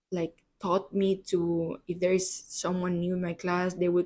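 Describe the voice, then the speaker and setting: Speaking with a Spanish accent, a woman of fairly low pitch talks at a fairly slow pace in a monotone, flat intonation. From Spain, Barcelona. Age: 20s. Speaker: podcast host. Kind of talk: solo podcast monologue. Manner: hesitant, many fillers.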